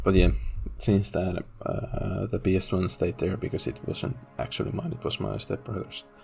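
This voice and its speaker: A man's very deep, low voice with a Finnish accent, very wide pitch swings, a moderate pace and music in the background. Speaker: gaming YouTuber. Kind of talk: casual monologue. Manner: hesitant, many fillers.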